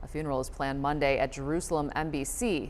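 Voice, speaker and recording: A woman speaks with lively intonation. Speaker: television news anchor. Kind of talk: TV newscast anchor read.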